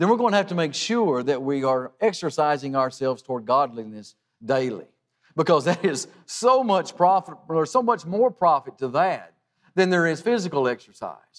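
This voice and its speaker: A man's words come at a moderate speed, with little else audible behind him. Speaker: preacher. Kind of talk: sermon. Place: church.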